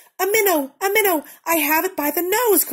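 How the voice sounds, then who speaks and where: A squeaky, put-on character voice runs at a fairly quick pace. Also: woman, extremely high pitch for a woman. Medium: read story. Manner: prim, polite.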